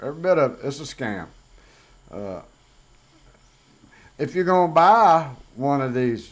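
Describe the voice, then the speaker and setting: With a Southern US accent, the speaker keeps a moderate pace with long, frequent pauses, big swings in loudness and very wide pitch swings. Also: man. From US South. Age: 50s. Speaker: YouTuber. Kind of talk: casual vlog monologue. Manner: conversational with fillers.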